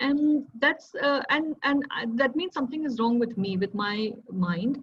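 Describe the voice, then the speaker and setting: A woman talks at a fairly slow pace in a high pitch. Her intonation is lively. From India. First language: Hindi. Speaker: civil servant and mental health advocate. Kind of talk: talk sharing lived experience. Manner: hesitant, many fillers.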